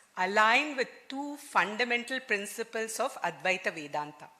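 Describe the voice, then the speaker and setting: Lively intonation shapes this bright, sharp-toned voice. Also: woman. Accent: Telugu. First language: Telugu. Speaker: engineer and quantum physicist, conference speaker. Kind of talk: conference talk. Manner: formal.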